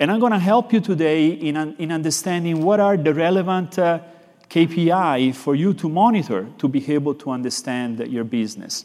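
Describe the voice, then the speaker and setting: Fairly quick, lively speech from a man with a fairly high pitch and a dark, mellow tone. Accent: Italian. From Florence, Italy. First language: Italian. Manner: expressive, animated.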